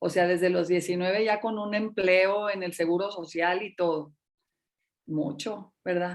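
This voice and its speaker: A woman with an ordinary speaking voice talks at a fairly slow pace and medium pitch, with fairly even intonation against a quiet background. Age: 60s. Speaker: teacher and school administrator. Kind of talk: interview.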